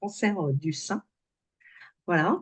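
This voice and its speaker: This woman's voice carries a somewhat breathy quality. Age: 60s. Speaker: alternative therapy practitioner. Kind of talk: interview. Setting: video call. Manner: halting, many hesitations.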